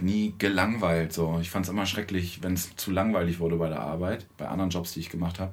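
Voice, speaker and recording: There is audible room echo around this man's very deep, low voice. He keeps a fairly even intonation. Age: 40s. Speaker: musician in a children's band. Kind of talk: casual interview.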